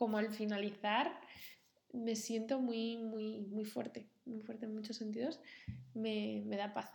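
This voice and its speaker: With audible room echo, a woman talks at a very slow pace in a fairly high pitch and monotone, flat intonation. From Spain, Cantabria (Santander). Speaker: designer. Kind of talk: interview. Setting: in the host's home.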